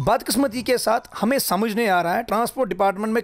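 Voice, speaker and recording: Speaking at a very fast pace, a man uses ordinary pitch variation. Behind him, all is quiet. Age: 30s. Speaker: road safety activist. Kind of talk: interview. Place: office. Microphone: handheld.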